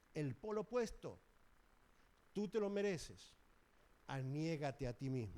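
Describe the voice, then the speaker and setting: In a fairly high pitch with a dark, mellow tone, a man speaks at a fairly slow pace with very wide pitch swings. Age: 70s. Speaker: preacher. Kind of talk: sermon.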